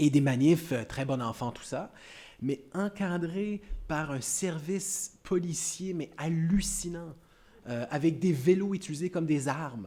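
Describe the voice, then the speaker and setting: This man speaks at a very slow pace with a Canadian French accent. His fairly high pitch carries a dark, mellow tone and ordinary pitch variation. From Canada. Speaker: academic speaker. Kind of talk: panel discussion answer. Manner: halting, many repetitions.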